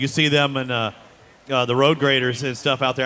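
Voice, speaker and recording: A man with an ordinary speaking voice and an American accent talks at a fairly quick pace and a fairly high pitch. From Texas. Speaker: racing webcast host. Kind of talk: casual interview.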